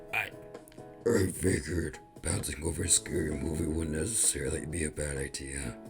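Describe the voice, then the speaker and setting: Clear music plays behind a man doing a put-on character voice at a moderate pace. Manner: demonic.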